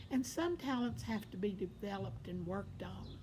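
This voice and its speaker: A woman speaks at a moderate pace in a Southern US accent. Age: 70s. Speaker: vlogger. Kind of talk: casual personal monologue.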